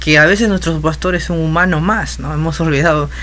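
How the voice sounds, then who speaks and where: The voice comes in a Peruvian accent. Audible room echo and noticeable background noise surround it. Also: man. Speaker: musician and music teacher. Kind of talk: casual interview. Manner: halting.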